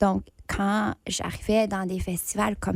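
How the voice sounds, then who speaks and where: The speaker is a woman using fairly even intonation. She talks at a very slow pace. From northern Ontario, Canada. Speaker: actor and playwright, festival judge. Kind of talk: podcast interview.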